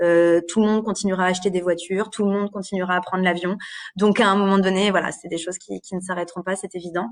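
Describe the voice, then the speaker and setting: A woman speaks very fast at a medium pitch, her intonation flat and monotone. The background is quiet. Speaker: career guidance advisor at a training centre. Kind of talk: live stream presentation. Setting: Facebook live stream. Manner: hesitant, many fillers.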